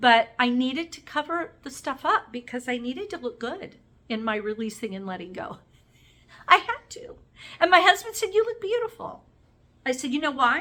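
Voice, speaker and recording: A raised, projected voice with a bright, sharp tone, very wide pitch swings, big swings in loudness and a moderate pace. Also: woman, high pitch for a woman. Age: 50s. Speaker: beauty vlogger. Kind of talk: makeup tutorial vlog. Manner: casual, chatty.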